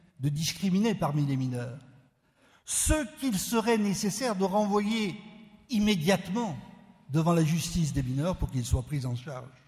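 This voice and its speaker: A man with a high voice speaks at a fairly slow pace, leaving long, frequent pauses. His pitch swings very widely, and the room echo is audible. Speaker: law professor. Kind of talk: conference talk.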